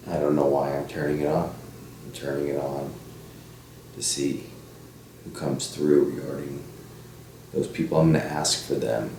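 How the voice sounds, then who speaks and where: A man speaks quietly in a very deep, low voice with flat, monotone intonation and long, frequent pauses, while noticeable background noise and audible room echo surround him. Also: moderate pace. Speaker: paranormal investigator. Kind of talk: casual monologue. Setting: at home at night.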